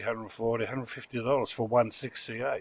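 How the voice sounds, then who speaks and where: The speaker is a man with a medium pitch. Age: 60s. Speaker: radio repair hobbyist, video creator. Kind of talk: casual workshop tutorial. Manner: casual, hesitant with fillers.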